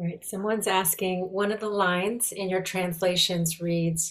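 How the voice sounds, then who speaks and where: A woman speaks at a fairly slow pace in a medium pitch. She has an ordinary speaking voice. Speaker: call host. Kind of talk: hosting introduction. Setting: video call webinar.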